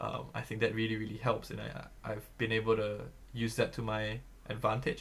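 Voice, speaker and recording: A man with a fairly low pitch and vocal fry speaks in a monotone, flat intonation at a moderate pace. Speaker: student government candidate. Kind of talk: candidate forum answer. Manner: loud; halting, many fillers.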